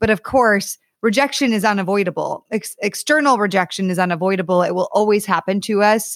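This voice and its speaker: A woman's plain, everyday voice with an American accent, medium pitch and ordinary pitch variation, at a fairly quick pace with hardly any pauses, dry and close with no echo on a very clean recording with a silent background. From US Northeast (Connecticut). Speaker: author and dating coach. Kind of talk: podcast interview.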